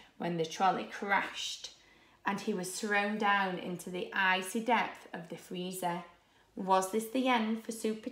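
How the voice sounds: This is a natural reading voice. The words come out in a natural reading voice throughout.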